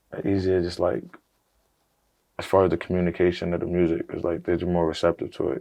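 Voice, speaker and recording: The delivery is very fast, in an American accent. The intonation stays flat and monotone. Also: man. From US. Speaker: rapper. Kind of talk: casual chat. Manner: halting, many fillers.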